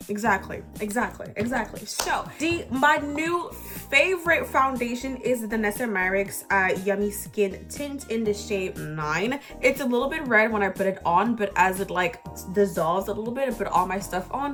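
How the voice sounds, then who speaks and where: With music in the background, the speech moves along in lively intonation. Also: woman, fairly high pitch for a woman, moderate pace. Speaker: beauty content creator. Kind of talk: casual makeup tutorial talk to camera. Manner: hesitant, stumbling over words.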